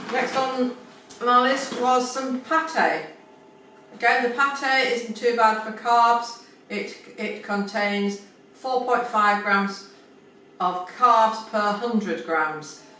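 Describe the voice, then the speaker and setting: With noticeable background noise behind her, a woman speaks in a fairly high voice. Her pace is very slow, with long, frequent pauses. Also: ordinary pitch variation. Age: 70s. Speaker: pensioner. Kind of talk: casual talk to camera.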